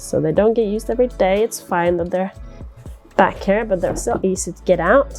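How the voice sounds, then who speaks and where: Over music in the background, a woman speaks in a relaxed tone. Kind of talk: casual talk to camera. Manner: relaxed, chatty.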